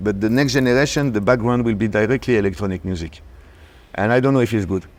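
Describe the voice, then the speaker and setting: Speaking at a very fast pace, a man with a French accent uses a medium pitch and ordinary pitch variation. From France (Paris). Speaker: DJ and producer. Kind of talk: casual interview chat.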